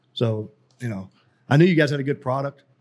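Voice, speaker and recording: A man with a Texan accent talks at a fairly quick pace, his pitch fairly high. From East Texas. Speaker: cigar sales rep, Air Force veteran. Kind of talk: casual chat.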